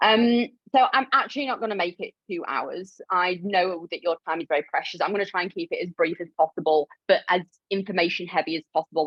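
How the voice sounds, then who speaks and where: With a Yorkshire accent, a woman speaks at a fairly quick pace. Her pitch is medium, with ordinary variation. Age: 30s. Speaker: clinical nutritionist. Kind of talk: live webinar presentation. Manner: casual, animated.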